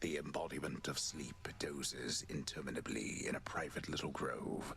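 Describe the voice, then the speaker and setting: Whispering in a put-on character voice, a man speaks at a moderate pace. Background noise is clearly audible. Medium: video game. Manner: measured, poetic.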